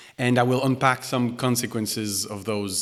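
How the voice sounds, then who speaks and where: A man speaks with a Quebec accent. His pitch sits in the medium range. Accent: French Canadian accent in English. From Quebec, Canada. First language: French. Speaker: music technology researcher and composer. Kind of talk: keynote lecture. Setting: concert hall with audience. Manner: hesitant, many fillers and restarts.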